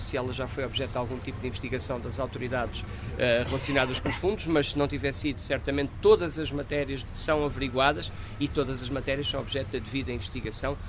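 At a very fast pace, a man talks with ordinary pitch variation. Noticeable background noise and audible room echo fill the recording. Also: fairly high pitch for a man. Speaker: political candidate. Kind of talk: press statement.

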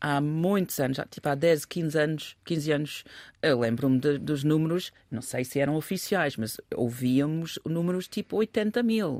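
Very slowly, a woman speaks at a very deep, low pitch. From England. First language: English (speaking Portuguese). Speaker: commentator. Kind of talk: casual discussion.

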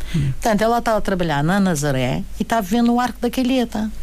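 A woman talks at a very fast pace with a fairly high pitch. Her loudness stays very even, and there is audible room echo. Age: 70s. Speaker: retired teacher and former politician. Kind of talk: radio interview. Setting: radio studio. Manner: halting.

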